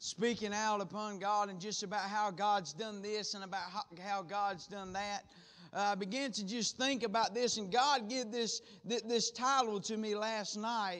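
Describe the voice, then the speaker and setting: Intonation is fairly even. The pace sits at a moderate level. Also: man, high pitch for a man. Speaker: preacher. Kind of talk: prayer and sermon. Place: church. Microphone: podium.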